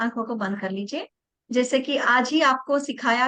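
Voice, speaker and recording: This woman has a high pitch. Her tone is bright and sharp. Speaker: reiki teacher. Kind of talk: online class.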